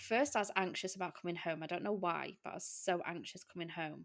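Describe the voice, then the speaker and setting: A woman with an English accent speaks at a fairly quick pace, with ordinary pitch variation. Her pitch is medium, and the recording is very clean with a silent background. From England. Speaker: podcast host. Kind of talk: casual chat.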